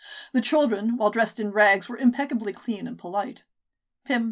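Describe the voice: Someone reads the text aloud plainly. All around is quiet.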